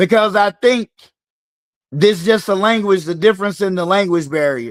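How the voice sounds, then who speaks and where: A man with a Southern US accent speaks in an animated tone at a high pitch and moderate pace with ordinary pitch variation, in a very clean recording with a silent background. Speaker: fitness coach hosting a live game. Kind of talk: live-stream game hosting. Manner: casual, animated.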